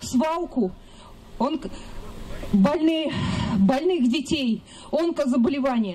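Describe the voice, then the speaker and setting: A woman speaks in a high voice. Light background noise sits under her words. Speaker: rally organizer; speaker. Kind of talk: rally speech. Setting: outdoors. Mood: indignant. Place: open country.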